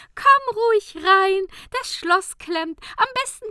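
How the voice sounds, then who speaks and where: A woman's put-on character voice, extremely high and squeaky, at a very slow pace, with a dry, close sound and no echo. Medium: read story. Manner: lively, giggly.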